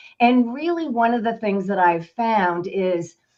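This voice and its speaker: A woman talks in an ordinary speaking voice at a moderate pace. Her intonation is lively. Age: 60s. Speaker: financial advisor and business owner. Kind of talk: interview.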